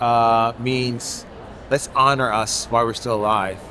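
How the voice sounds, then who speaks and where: With noticeable background noise behind him, a man with an American accent speaks at a medium pitch. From Connecticut, Haitian-born. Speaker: painter. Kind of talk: interview. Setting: art fair. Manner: casual, many fillers.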